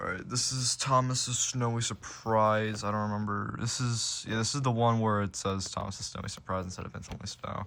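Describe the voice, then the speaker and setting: With hardly any pauses, a man talks at medium pitch in a bright, sharp tone and fairly even intonation. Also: fairly quick pace. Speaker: collector showing video tapes. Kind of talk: casual show-and-tell vlog. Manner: casual, filler-heavy.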